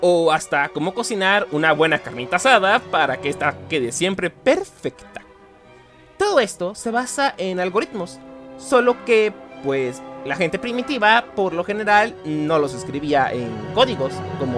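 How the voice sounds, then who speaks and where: A man's high-pitched voice at a fairly slow pace, with very wide pitch swings and music in the background. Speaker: teacher / historian and informatics technician. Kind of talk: educational podcast narration.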